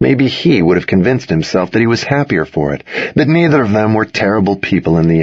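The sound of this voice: Lively intonation marks the unforced reading voice.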